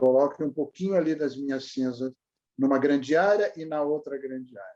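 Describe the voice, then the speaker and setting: Here a man speaks with a fairly high pitch and a dark, mellow tone. His pitch varies in an ordinary way, while his loudness swings widely. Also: moderate pace. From Brazil, Santos (São Paulo coast). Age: 80s+. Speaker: retired journalist. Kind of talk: oral history interview. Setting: video call.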